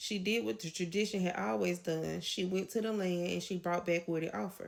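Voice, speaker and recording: A woman talks at a fairly quick pace. She has a slight Southern US accent. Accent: a little country. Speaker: educator on folk tradition. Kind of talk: educational lecture. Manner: fast.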